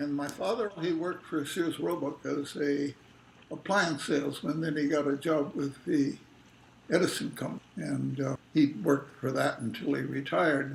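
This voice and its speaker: Noticeable background noise sits under a man speaking with an American accent. His pitch is fairly high with ordinary variation, and he keeps a moderate pace. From Los Angeles, California, US. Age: 90s. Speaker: retired academic being interviewed. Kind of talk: oral history interview. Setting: family home kitchen.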